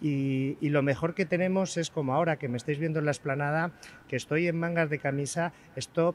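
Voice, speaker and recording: A plain, everyday voice moves at a fairly quick pace with ordinary pitch variation over light background noise. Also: man, dry sound with no echo. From Spain. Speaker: chef. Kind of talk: live TV interview. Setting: outdoors. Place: street. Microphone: handheld.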